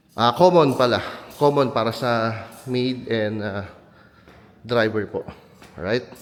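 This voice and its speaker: Over noticeable background noise, a man with a medium pitch and ordinary pitch variation speaks very slowly with long, frequent pauses. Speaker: real estate agent giving property tours. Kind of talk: walkthrough property tour. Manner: speaks minimally, restrained.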